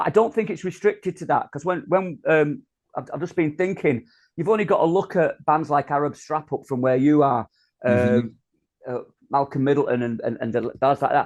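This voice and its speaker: This man talks at a fairly quick pace with a Yorkshire accent. His pitch is fairly high, with ordinary variation. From North Yorkshire. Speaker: spoken word performer. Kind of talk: interview answer. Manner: hesitant, chatty.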